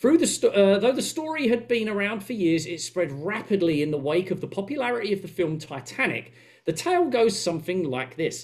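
A man's high voice in an Essex accent, with very wide pitch swings, a fairly quick pace, hardly any pauses and a quiet background. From England. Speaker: podcast co-host. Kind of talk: casual chat; podcast discussion, reading a story aloud. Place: home room.

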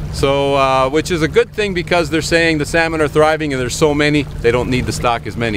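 Noticeable background noise sits under a man's dry-sounding voice that has no echo. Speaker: fishing host. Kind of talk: tutorial. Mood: cheerful, relaxed. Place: boat. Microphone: phone near.

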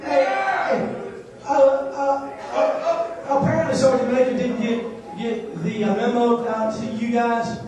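A man speaks fairly slowly at an extremely high pitch, with ordinary pitch variation. Strong room echo and noticeable background noise fill the recording. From Alabama. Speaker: stand-up comedian and army officer. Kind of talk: stand-up comedy set. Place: hall.

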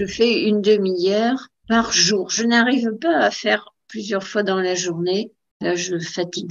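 A woman speaks at a very slow pace and a medium pitch. Her pitch varies normally, and the background is quiet. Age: 80s+. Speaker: amateur pianist. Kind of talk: interview answer. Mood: warm, reminiscing. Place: home room. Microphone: video call.

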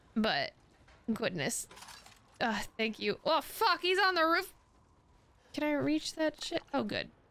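A woman's animated, high-pitched voice with very wide pitch swings, a fairly slow pace, long and frequent pauses, and dry sound with no echo. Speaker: video game streamer. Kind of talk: live gameplay commentary. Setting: livestream. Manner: animated, excitable. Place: home room.

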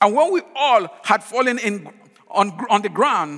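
A raised, projected voice, bright and sharp in tone, with lively intonation at a fairly slow pace. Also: man. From Nigeria. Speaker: pastor. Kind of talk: sermon.

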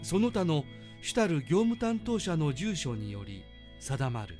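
Over music in the background, a man with a fairly high pitch talks at a fairly slow pace with very wide pitch swings. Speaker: announcer narrator. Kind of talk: legal text reading, statute narration. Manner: clear, even-paced, deliberate.

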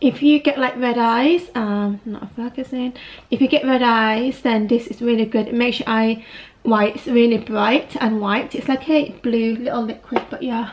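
A woman speaks with a British accent. Her pitch is high and her intonation fairly even. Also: moderate pace. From UK. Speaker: vlogger. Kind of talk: casual vlog. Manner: chatty, casual. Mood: relaxed, slightly reflective. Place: home room. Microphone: phone near.

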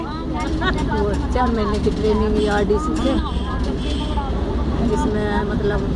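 A woman at a very slow pace with long, frequent pauses, dry sound with no echo, and loud background noise. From village on the outskirts of Delhi. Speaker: former electronics assembly worker. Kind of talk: interview answer. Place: street. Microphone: phone near.

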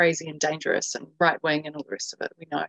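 A woman speaks with a New Zealand accent. The sound is dry with no echo over a quiet background. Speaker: journalist and documentary filmmaker; journalist. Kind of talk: interview. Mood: earnest, somewhat frustrated. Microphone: video call.

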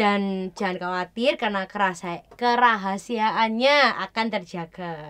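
A woman speaks at a fairly slow pace. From Indonesia. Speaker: church youth co-host, university student; church youth co-host. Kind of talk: casual chat. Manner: forceful, loud. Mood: earnest personal sharing. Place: studio.

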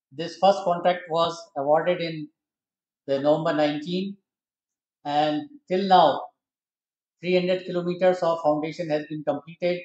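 A man's high-pitched, monotone, flat delivery at a fairly slow pace, with long, frequent pauses, audible room echo and a quiet background. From India. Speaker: retired railway engineer; guest. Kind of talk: presentation. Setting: stage with audience. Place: hall. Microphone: podium.

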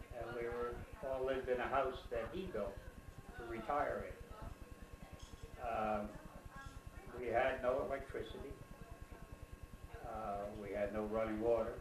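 A man speaks at a very slow pace with long, frequent pauses over noticeable background noise. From New Jersey, USA. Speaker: interviewed grandfather. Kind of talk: interview answer. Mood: calm reminiscing. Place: home room. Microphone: camera far.

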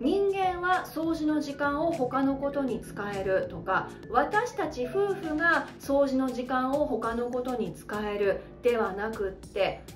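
A woman's high voice with very wide pitch swings, very slow yet with hardly any pauses, over clear music in the background. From Hokkaido, Japan. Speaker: speaking coach; narrator, former radio announcer. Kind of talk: educational talk to camera. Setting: home living room. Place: home room.

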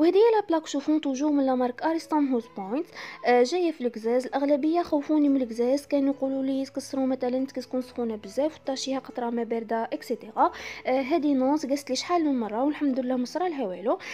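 A very fast voice with an Algerian accent and a dark, mellow tone, over light background noise. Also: woman, high pitch for a woman, ordinary pitch variation, hardly any pauses. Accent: Algerian Arabic with French loanwords. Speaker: home vlogger. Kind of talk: casual talk to camera, home tour. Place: kitchen. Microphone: phone near.

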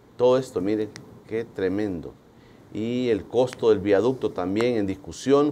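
A man's dark, mellow voice at a moderate pace, with ordinary pitch variation and light background noise. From El Salvador. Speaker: TV interview host. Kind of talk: morning TV interview show. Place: studio. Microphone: lapel.

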